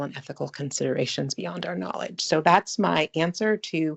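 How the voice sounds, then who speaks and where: This woman's voice sits very deep and low, with vocal fry running through it. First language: French. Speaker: webinar presenter. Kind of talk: webinar Q&A.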